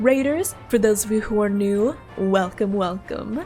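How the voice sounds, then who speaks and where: A woman talks with lively intonation while music plays behind her. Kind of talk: upbeat streamer greeting.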